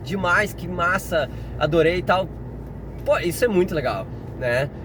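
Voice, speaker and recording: A man's ordinary pitch variation is heard with noticeable background noise behind him. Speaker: science teacher. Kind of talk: casual vlog monologue. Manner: halting, with frequent fillers and restarts.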